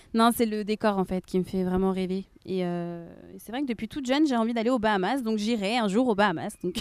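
A woman talks at a fairly quick pace in a medium pitch with ordinary pitch variation. The recording is very clean, with a silent background. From Rennes, France. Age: 20s. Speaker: nursing assistant. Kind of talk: casual interview. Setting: outdoors in a park. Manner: halting.

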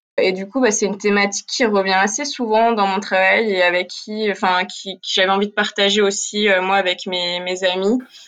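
Here a woman with an ordinary speaking voice and medium pitch talks at a moderate pace with fairly even intonation and hardly any pauses. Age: 20s. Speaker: art student. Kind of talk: interview.

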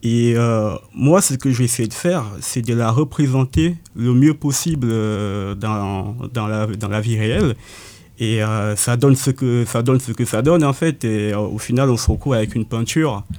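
The pace of this man's speech is fairly slow. His tone is dark and mellow. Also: medium pitch for a man, ordinary pitch variation. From Cameroon, Yaoundé. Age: 20s. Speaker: painter. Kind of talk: interview. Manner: halting, many hesitations.

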